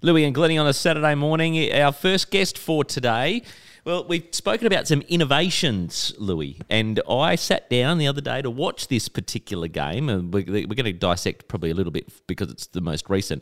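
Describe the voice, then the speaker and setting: With an Australian accent, a man talks at a fairly quick pace and a fairly high pitch, with very wide pitch swings, hardly any pauses and a dry, close sound without echo. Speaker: radio host. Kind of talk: casual radio interview.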